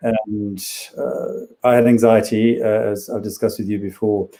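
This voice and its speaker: A man with a South African accent talks at a moderate pace and medium pitch. His tone is dark and mellow, his intonation monotone and flat. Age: 50s. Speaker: psychiatrist. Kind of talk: interview.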